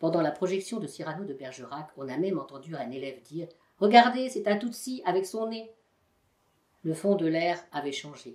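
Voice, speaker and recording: A woman talks with a fairly low pitch and very wide pitch swings. Her loudness swings widely too. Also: moderate pace. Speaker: volunteer voice donor. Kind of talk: novel reading.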